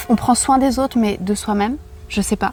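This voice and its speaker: A woman's somewhat breathy voice, fairly high in pitch, with fairly even intonation. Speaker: yoga teacher and sophrologist. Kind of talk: casual chat. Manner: calm, gentle.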